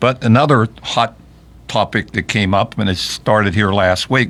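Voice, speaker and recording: With a western Pennsylvania accent, a man speaks at a fairly low pitch. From Fayette County, southwestern Pennsylvania. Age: 70s. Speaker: local party chairman, radio host. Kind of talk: political talk radio chat. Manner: halting, many restarts.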